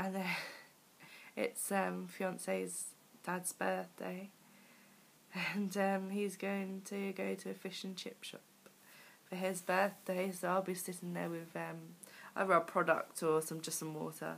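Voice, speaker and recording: A woman speaks with a British accent at a fairly slow pace. Her speech has long, frequent pauses. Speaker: weight loss vlogger. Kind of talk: video diary. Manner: hesitant, many fillers.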